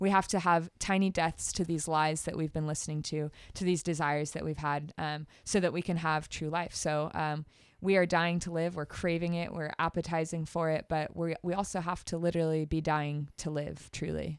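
The speaker has a Californian accent and a moderate pace, with monotone, flat intonation. The recording is very clean, with a silent background. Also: woman, fairly low pitch for a woman. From US West Coast, East Bay (California). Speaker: youth ministry director. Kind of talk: casual podcast chat about faith.

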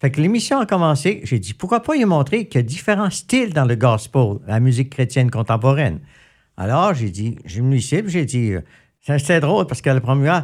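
In a very clean recording with a silent background, a man with a fairly high, somewhat breathy voice talks at a fairly quick pace with very wide pitch swings. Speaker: radio host and musician. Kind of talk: casual interview. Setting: studio.

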